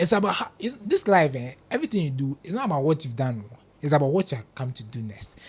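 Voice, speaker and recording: A man with a Ghanaian accent: fairly high, somewhat breathy voice, animated tone, very wide pitch swings, big swings in loudness, very fast pace. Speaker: football pundit. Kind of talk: casual chat.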